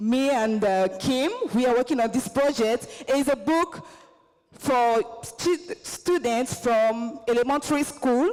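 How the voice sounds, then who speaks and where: A woman's high voice rises and falls with lively intonation at a fairly slow pace. Her loudness stays very even throughout. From Côte d'Ivoire. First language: Baoulé. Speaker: visiting fellow and performing artist. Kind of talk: convention presentation.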